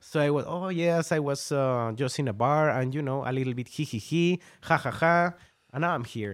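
On a very clean recording with a silent background, a man speaks with a Mexican accent. His pitch is fairly high, with ordinary variation, and his pace is moderate. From northern Mexico. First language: Spanish. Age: 30s. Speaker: tattoo artist. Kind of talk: casual interview. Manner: laughs often.

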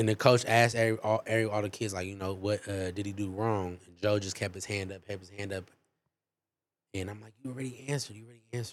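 Fairly low in pitch, a man talks at a very fast pace with fairly even intonation and big swings in loudness. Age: 30s. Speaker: friend of the host. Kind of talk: casual chat.

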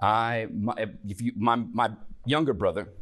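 In a Southern US accent, a man talks at a fairly low pitch. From US South, Tennessee. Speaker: church teacher. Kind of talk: Bible class teaching.

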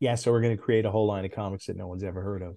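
A man talks at a very fast pace. His tone is dark, mellow and somewhat breathy. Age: 50s. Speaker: former comic book editor. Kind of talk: interview.

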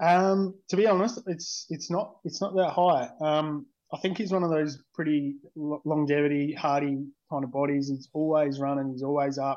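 Against a quiet background, a man with an Australian accent speaks at a moderate pace in a fairly high voice with ordinary pitch variation. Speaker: fantasy league coach. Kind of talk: interview.

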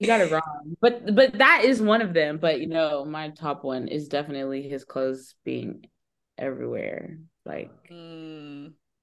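Her pitch is very deep and low, and this woman talks at a fairly slow pace. Her intonation is lively, with big swings in loudness. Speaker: married guest. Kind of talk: casual chat.

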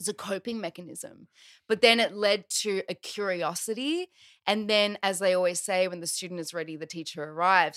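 In an Australian accent, a woman speaks at a moderate pace with a bright, sharp tone and ordinary pitch variation, in a dry, close sound with no echo on a very clean recording with a silent background. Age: 30s. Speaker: transformational coach. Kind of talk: casual chat.

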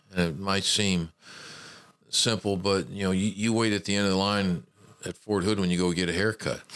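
A man with a Southern US accent talks at a moderate pace. His pitch is fairly low, with fairly even intonation. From Memphis, Tennessee. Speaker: retired army general, university administrator. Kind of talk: interview.

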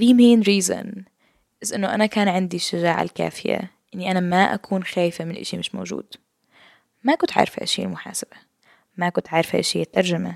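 A woman's medium-pitched voice at a moderate pace. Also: fairly even intonation, dry, close sound with no echo. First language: multilingual, Arabic and English (speaking Arabic). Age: 20s. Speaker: podcast host, university student. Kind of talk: casual monologue. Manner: code-switching Arabic and English.

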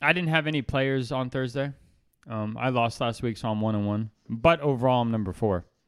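This is an ordinary speaking voice from a man at a medium pitch. He talks at a fairly quick pace with ordinary pitch variation. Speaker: podcast co-host. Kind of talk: casual chat.

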